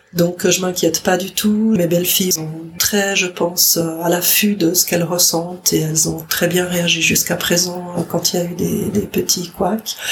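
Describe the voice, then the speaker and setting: Against noticeable background noise, a woman with a fairly low pitch talks at a fairly slow pace in a monotone, flat intonation, with hardly any pauses. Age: 60s. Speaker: grandmother, daycare office worker. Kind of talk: testimony.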